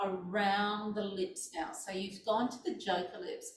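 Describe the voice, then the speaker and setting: Woman's voice, fairly high and somewhat breathy, at a fairly slow pace, with audible room echo. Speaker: movement class instructor. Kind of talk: guided exercise class. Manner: gentle.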